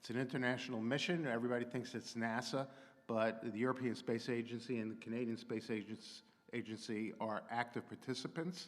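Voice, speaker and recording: At a fairly quick pace, a man speaks in an unremarkable speaking voice. His pitch is medium and his intonation fairly even. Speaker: astrophysicist and technology consultant. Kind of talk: public lecture.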